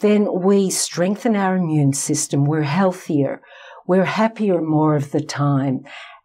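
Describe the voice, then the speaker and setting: Speaking at a very slow pace with very even loudness, a woman with a fairly low pitch and ordinary pitch variation is heard over noticeable background noise. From Australia. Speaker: psychologist. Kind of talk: interview.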